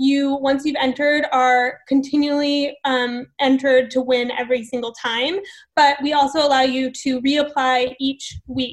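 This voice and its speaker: A woman speaks at a high pitch and a fairly slow pace. Her intonation is monotone and flat. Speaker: webinar co-host. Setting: video call.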